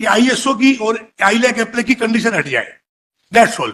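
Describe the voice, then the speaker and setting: Extremely high pitch defines this man's voice. His delivery keeps a moderate pace. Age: 80s+. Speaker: petitioner arguing own case in court; engineering materials testing laboratory owner. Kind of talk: courtroom argument. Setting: courtroom.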